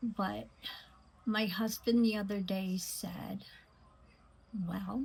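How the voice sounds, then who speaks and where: Somewhat breathy, a woman speaks at medium pitch with fairly even intonation. Her pace is very slow. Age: 60s. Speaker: beauty vlogger. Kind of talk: makeup tutorial. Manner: hesitant, many fillers.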